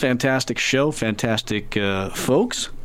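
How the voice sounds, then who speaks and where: A man's voice over noticeable background noise. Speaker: radio DJ. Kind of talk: radio DJ patter, a live campus-radio show with fund-drive pitches and song rundowns. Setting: studio. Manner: laid-back and rambling, peppered with ums and uhs, wry and self-deprecating; conversational, plain-spoken, a little absent-minded and joking around.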